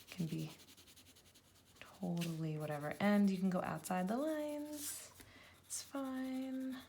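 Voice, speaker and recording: A woman's medium-pitched voice with very wide pitch swings, fairly slow and full of long, frequent pauses, in audible room echo. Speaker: elementary school teacher. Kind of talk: tutorial. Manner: friendly, encouraging.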